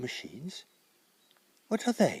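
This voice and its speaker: A man speaks in a put-on character voice. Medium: read story. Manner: wondering, fearful.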